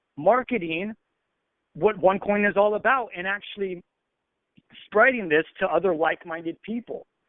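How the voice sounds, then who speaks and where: A man with an American accent and a high pitch moves at a moderate pace, taking long, frequent pauses, with ordinary pitch variation. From US, Arizona. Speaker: network marketer. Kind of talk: training call. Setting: phone call. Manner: slurred, lazy tongue.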